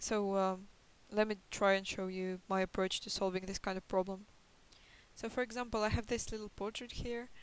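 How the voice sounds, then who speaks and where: At a moderate pace, a woman with a non-native accent talks at a medium pitch in monotone, flat intonation. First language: not English. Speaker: concept artist. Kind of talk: tutorial. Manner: hesitant, many fillers. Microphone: poor microphone quality.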